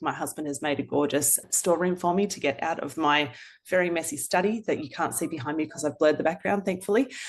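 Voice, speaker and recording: Speaking at a fairly quick pace, a woman with an Australian accent has a very deep, low pitch and ordinary pitch variation. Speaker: author. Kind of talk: interview. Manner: fast.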